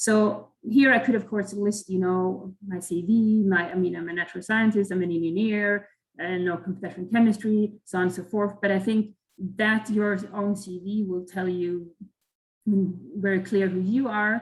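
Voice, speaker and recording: A woman talks at a moderate pace with a Swedish accent. Her voice is somewhat breathy, and her intonation is flat and monotone. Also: medium pitch for a woman. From Sweden. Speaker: chemical engineer at a company, career panelist. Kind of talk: online career webinar talk. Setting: video call. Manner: halting, many fillers and repetitions.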